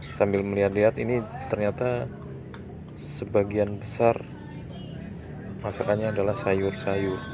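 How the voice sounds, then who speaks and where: A man talks at a fairly slow pace. Music plays in the background, and the sound is dry with no echo. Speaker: food vlogger. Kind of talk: casual vlog commentary. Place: market. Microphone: phone near.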